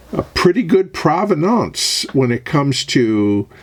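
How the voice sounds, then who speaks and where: Noticeable background noise sits under a man speaking with an American accent. He goes at a very slow pace, his pitch swinging very widely. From United States. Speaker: product reviewer. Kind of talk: product review. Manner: casual with frequent fillers.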